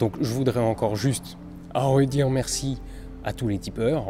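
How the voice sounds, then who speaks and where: Over music in the background, the speaker goes at a very slow pace with ordinary pitch variation. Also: man. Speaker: science YouTuber. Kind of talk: travel vlog. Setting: airport. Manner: hesitant, many fillers.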